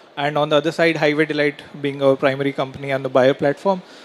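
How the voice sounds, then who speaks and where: The voice has a monotone, flat intonation over noticeable background noise. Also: man. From India, Bangalore. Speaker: startup founder. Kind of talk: pitch.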